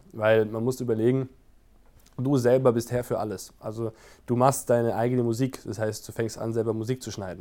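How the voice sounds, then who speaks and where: A man at medium pitch, fairly quick and monotone with flat intonation, a dark, mellow tone, on a very clean recording with a silent background. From Baden-Württemberg, Germany (Wiesloch). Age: 20s. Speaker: sauna master. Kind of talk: casual interview.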